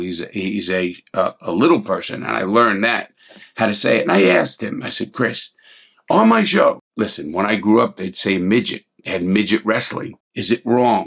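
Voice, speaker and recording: In a New York accent, a man talks with a fairly low pitch. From New York City (Bronx, Brooklyn). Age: 60s. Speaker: ex-convict YouTuber and commentator. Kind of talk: casual commentary monologue. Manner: halting, repeated words; blunt and direct.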